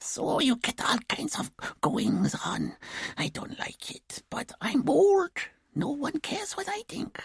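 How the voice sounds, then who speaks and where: Whispering in a put-on character voice, the speaker moves at a fairly slow pace. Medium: read story. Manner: chatty, self-satisfied.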